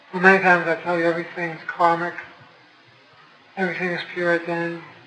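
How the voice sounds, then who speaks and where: Over noticeable background noise, a man speaks at a fairly quick pace in a high voice. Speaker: spiritual teacher. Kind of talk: spiritual talk to an audience.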